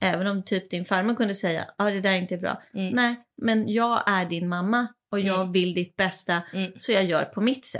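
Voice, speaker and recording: A woman speaks in a normal speaking voice at medium pitch. Her pace is moderate and her intonation fairly even. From Sweden and Italy. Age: 40s. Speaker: mother of the host. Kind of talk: casual chat.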